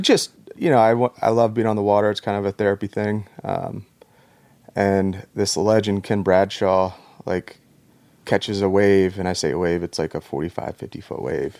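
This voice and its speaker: Here a man with an American accent speaks in a plain, everyday voice at a fairly low pitch and moderate pace. His intonation is fairly even, and the sound is dry and close with no echo. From Norfolk, Virginia. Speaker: Navy SEAL veteran and skateboard business co-owner. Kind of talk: casual chat.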